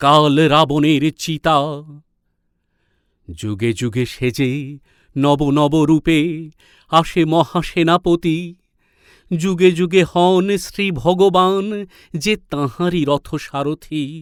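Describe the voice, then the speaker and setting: A man speaks at a fairly high pitch with ordinary pitch variation. The recording is very clean with a silent background, dry and close with no echo. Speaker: reciter. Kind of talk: poetry reading. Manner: rousing, declamatory.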